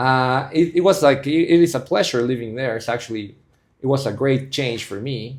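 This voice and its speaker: A man's medium-pitched voice with a Spanish accent, ordinary pitch variation, and a moderate pace. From Bolivia. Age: 30s. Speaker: civil engineer and investor, podcast guest. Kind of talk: casual interview chat.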